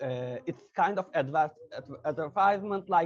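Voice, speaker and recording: In a Turkish accent, a man with a high voice speaks fairly slowly with lively intonation. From Turkey. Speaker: interviewer. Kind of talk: interview. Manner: halting, many fillers.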